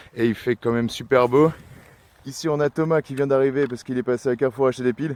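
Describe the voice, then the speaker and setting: With a dry, close sound and no echo, a man speaks very fast at a medium pitch, his intonation fairly even. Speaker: metal detecting vlogger. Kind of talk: casual outdoor vlog commentary. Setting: outdoors in a field.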